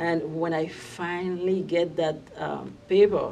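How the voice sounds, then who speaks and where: A woman with a Haitian accent speaks at a fairly low pitch. Her intonation is monotone and flat. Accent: Haitian Creole-accented English. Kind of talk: personal immigration story told to camera.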